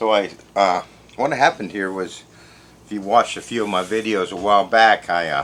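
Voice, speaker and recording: A man talks with ordinary pitch variation. He leaves long, frequent pauses. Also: fairly low pitch for a man. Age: 50s. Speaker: home food preserver and video creator. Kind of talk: tutorial. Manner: casual, conversational.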